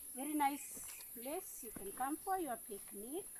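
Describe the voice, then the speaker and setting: High in pitch, a woman talks at a fairly slow pace with very wide pitch swings. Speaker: retired teacher. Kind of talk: casual walking vlog talk to camera. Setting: outdoors.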